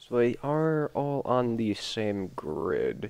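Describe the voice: The man's voice is gravelly. His intonation is lively.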